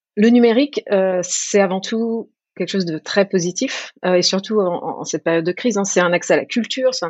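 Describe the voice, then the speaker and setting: Speaking at a moderate pace, a woman with a normal speaking voice uses a medium pitch and ordinary pitch variation. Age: 30s. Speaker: government design team lead. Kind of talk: interview.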